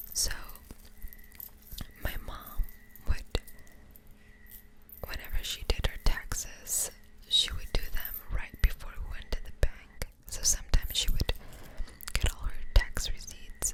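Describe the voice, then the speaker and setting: Someone whispers at a fairly slow pace with big swings in loudness and long, frequent pauses over noticeable background noise. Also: woman. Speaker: ASMR creator. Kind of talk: casual talk to camera. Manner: soft-spoken, close-whispered.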